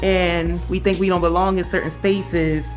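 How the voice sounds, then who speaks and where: A woman with a warm tone speaks over music in the background. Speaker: spoken word poet, author, radio co-host. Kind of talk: casual talk to camera, personal interview answer. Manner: warm, sincere.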